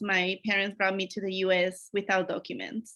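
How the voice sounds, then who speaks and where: Speaking at a moderate pace, a woman with a Spanish accent has a bright, sharp tone. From Mexico, Acapulco, Guerrero. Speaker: academic advisor. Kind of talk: conference presentation.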